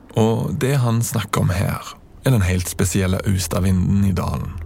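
Against noticeable background noise, a man speaks with a very deep, low pitch. His pace is fairly slow, with ordinary pitch variation. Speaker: podcast host and narrator. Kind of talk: scripted narration.

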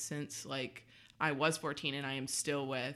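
The recording is very clean with a silent background. A woman speaks at a moderate pace in a bright, sharp tone. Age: 20s. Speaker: nanny. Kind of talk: casual chat.

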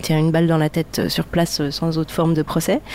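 A woman's voice with noticeable background noise. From Lebanon (Beirut), of Palestinian origin. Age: 40s. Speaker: documentary filmmaker and preserves maker. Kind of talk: casual chat. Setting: kitchen. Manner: halting.

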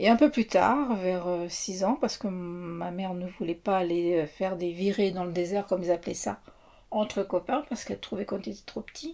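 Her voice dark and mellow, a woman speaks at a moderate pace with medium pitch and ordinary variation. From France, childhood in Mauritania. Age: 50s. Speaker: interviewee. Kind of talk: interview. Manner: hesitant.

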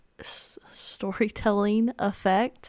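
Over a very clean recording with a silent background, a woman speaks in an animated tone. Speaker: podcaster. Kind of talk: casual solo chat. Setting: home dining table with microphone. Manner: animated, chatty, filler-heavy.

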